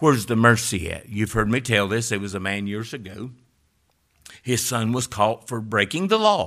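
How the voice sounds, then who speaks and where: A man at medium pitch and moderate pace, bright and sharp in tone with ordinary pitch variation, in a very clean recording with a silent background. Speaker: preacher. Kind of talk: sermon. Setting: church.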